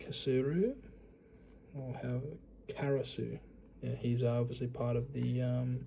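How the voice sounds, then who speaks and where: With an Australian accent, a man talks at a fairly slow pace, leaving long, frequent pauses. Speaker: YouTuber, card collector. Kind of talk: casual unboxing commentary. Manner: casual, hesitant with fillers.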